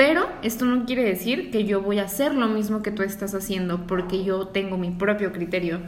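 A woman speaks at a moderate pace with ordinary pitch variation. Audible room echo and noticeable background noise fill the recording. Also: medium pitch for a woman, hardly any pauses. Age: 20s. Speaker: podcast co-host, graphic designer. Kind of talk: casual chat.

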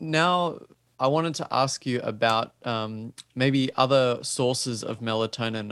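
The speaker is a man with an Australian accent. He goes at a fairly slow pace, and the sound is dry and close with no echo. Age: young. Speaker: podcast host. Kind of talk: interview. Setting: remote call.

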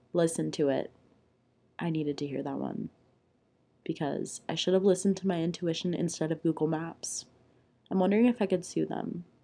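A woman with an American accent speaks in a dark, mellow tone. She leaves long pauses, and they come often. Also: fairly low pitch for a woman, ordinary pitch variation, fairly quick pace. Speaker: podcast host, college student. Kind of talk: casual solo chat. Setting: mom's meditation room at home.

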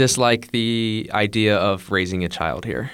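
A man speaks with a Midwestern US accent. His pitch is fairly low, with ordinary variation. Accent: US Midwest. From US, Ohio. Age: 20s. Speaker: English teacher. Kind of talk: casual chat.

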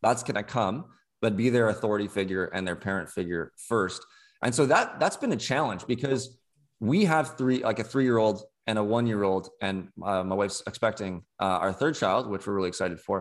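On a very clean recording with a silent background, a man with a plain, everyday voice talks at a fairly quick pace, fairly low in pitch and with ordinary pitch variation. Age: 20s. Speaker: former podcast co-host, youth ministry house parent. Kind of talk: casual chat.

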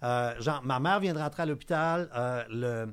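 Fairly slow speech from a man, pitch moving in an ordinary way. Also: very clean recording, silent background. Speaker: cybersecurity expert. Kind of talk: casual chat.

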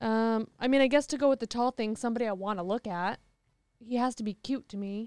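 A normal speaking voice goes at a fairly quick pace in a dry, close sound with no echo. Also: woman, fairly high pitch for a woman, fairly even intonation, very clean recording, silent background. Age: 30s. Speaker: friend of the hosts. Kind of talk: casual chat.

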